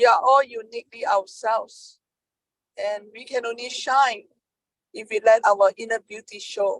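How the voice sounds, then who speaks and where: At a moderate pace, a woman speaks in a fairly high pitch with ordinary pitch variation and a dry, close sound with no echo. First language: not English. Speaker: peer advocate. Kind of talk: panel discussion. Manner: halting.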